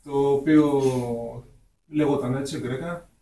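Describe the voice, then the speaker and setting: A fairly high-pitched male voice, somewhat breathy and dark, mellow in tone, at a fairly slow pace with audible room echo. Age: 20s. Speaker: hip hop artist. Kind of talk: radio interview. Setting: radio studio.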